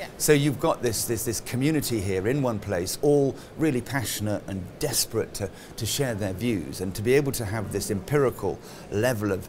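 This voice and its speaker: A man at a moderate pace with lively intonation over light background noise. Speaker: conference host. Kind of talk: interview answer. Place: hall.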